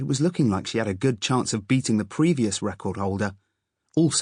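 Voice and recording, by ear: Reading aloud in a natural voice with lively intonation, over a quiet background.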